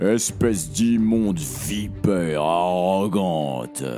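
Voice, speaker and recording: Over clear music in the background, a man does a put-on character voice with a very deep, low pitch at a very slow pace. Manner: authoritative, angry, insulting.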